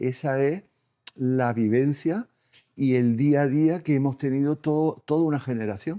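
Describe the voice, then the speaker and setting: A man speaks at a fairly slow pace in a fairly high pitch, his dark, mellow tone showing ordinary pitch variation in a dry, close sound with no echo. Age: 70s. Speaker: historical memory association vice president. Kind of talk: interview.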